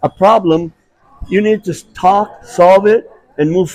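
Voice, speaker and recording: A man with an American accent speaks at a fairly slow pace in a high-pitched voice. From Arizona. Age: 70s. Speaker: martial arts grandmaster. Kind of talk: interview.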